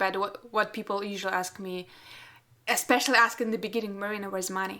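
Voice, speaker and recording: A woman with a non-native accent speaks at a very fast pace. Her bright, sharp tone stays monotone and flat. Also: medium pitch for a woman. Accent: non-native English speaker. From Russia. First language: Russian. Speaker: portrait photographer and podcast host. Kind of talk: casual interview chat.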